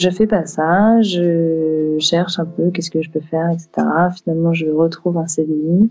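Speaking at a fairly slow pace, a woman keeps a fairly low pitch and a monotone, flat intonation. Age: 20s. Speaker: entrepreneur, founder of a women's wellness brand. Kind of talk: interview. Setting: studio. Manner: hesitant, many fillers.

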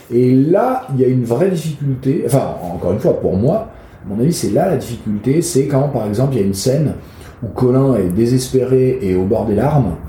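A man with a medium-pitched voice speaks at a moderate pace with lively intonation, with audible room echo and noticeable background noise. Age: 40s. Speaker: actor and playwright. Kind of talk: interview. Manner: hesitant, many fillers and repetitions.

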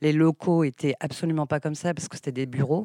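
A woman with a dark, mellow tone talks at a moderate pace with fairly even intonation. The recording is very clean with a silent background and a dry, close sound without echo. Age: 50s. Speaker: childminder. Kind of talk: interview.

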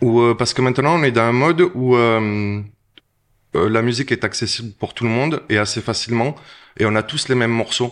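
Over a quiet background, an ordinary speaking voice moves at a fairly quick pace. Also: man, medium pitch for a man, ordinary pitch variation. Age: 40s. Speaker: DJ. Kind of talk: casual interview chat. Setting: restaurant.

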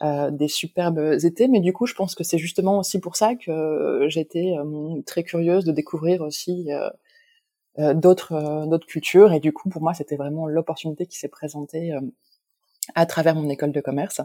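In a very clean recording with a silent background, a woman with a dark, mellow tone speaks at a fairly slow pace with fairly even intonation and long, frequent pauses, the sound dry and close with no echo. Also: fairly low pitch for a woman. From northern France, Lille. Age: 30s. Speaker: entrepreneur, brand founder. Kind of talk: interview. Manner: hesitant, many fillers.

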